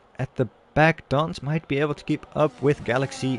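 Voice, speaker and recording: A man talks at a fairly slow pace. The sound is dry and close, with no echo. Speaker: sim racing league commentator. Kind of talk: live commentary. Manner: animated.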